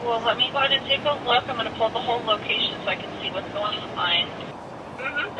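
Someone talks at a very fast pace over noticeable background noise. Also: man. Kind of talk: phone support call. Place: car. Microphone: phone line.

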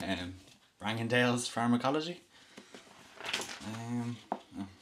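A man speaks with a Dublin accent over noticeable background noise. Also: ordinary pitch variation, fairly slow pace. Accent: Dublin Irish. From Dublin, Ireland. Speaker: student vlogger. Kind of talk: reading a textbook passage aloud. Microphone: webcam.

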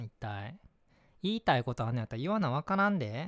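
A man at a medium pitch swings very widely in pitch, with a dry, close sound, no echo, and a very clean recording over a silent background. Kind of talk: scripted ASMR role-play, acting a worried boyfriend. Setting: home-recorded ASMR video. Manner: heated, scolding, irritated and worried, rapid Kansai-dialect nagging; turns gentle, apologetic and soft after the outburst.

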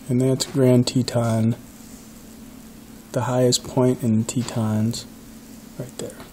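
The speech moves at a very slow pace. Light background noise sits underneath. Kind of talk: casual tour narration. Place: home room. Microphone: phone near.

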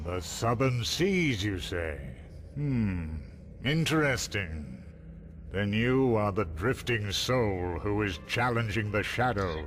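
A man speaks in a put-on character voice, fairly low-pitched and solemn, at a fairly slow pace over clear background noise. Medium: video game. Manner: slow, lofty, solemn.

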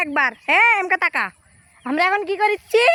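In a raised, projected voice with lively intonation, a woman speaks with a dry, close sound and no echo over noticeable background noise. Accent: northern Bangladeshi. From Bangladesh, Bogura. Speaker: vlogger. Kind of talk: casual vlog. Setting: outdoors. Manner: animated.

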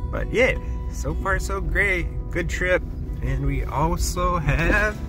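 Clear music plays behind a man speaking at a very slow pace, with a dry sound and no echo. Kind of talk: casual vlog chat. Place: car. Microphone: phone near.

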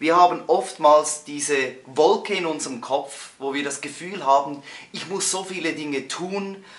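There's audible room echo as a man speaks at a moderate pace with ordinary pitch variation. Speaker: coach or presenter. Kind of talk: motivational tutorial talk. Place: home room.

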